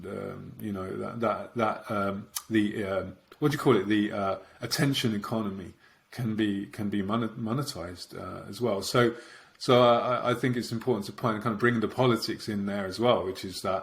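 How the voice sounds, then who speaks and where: A man with a normal speaking voice talks at a fairly low pitch. His intonation is fairly even and his pace moderate. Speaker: podcast host. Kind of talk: podcast interview.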